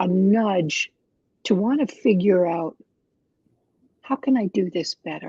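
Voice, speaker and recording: A woman at medium pitch speaks at a fairly slow pace, with long, frequent pauses and lively intonation. Her dark, mellow tone is somewhat breathy, and the sound is dry and close with no echo. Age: 70s. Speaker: life recovery coach. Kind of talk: interview.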